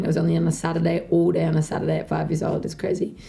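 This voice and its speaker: A woman with an Australian accent and a very deep, low pitch. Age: 20s. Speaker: dancer and dance teacher. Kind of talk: interview. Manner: casual, hesitant with many fillers.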